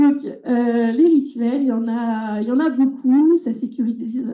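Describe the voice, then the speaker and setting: Fairly even intonation accompanies delivery at a fairly slow pace. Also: woman. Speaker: environmental educator. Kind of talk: conference talk. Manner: hesitant, many fillers.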